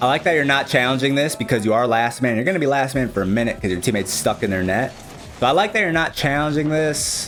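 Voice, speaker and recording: Over background music, a speaker with an American accent goes at a very fast pace, with lively intonation and very even loudness. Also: man, medium pitch for a man. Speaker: gaming coach, streamer. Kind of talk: replay analysis commentary.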